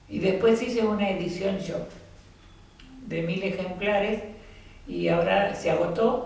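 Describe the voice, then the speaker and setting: With audible room echo and noticeable background noise, a woman at medium pitch talks at a fairly slow pace, her intonation fairly even and her pauses long and frequent. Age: 70s. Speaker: author. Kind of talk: casual chat.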